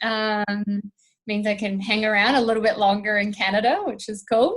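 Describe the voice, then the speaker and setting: Her intonation monotone and flat, a woman speaks at a fairly high pitch. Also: moderate pace. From New Zealand, small town. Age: 30s. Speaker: strength and conditioning coach. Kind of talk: podcast interview, casual chat. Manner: lots of fillers (um, uh).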